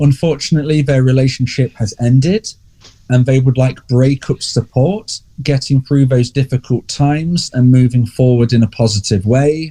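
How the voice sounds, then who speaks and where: With an English accent, a man talks at a moderate pace in a fairly high voice with a dark, mellow, somewhat breathy tone, very even loudness and ordinary pitch variation. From England. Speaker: relationship coach. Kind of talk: podcast interview.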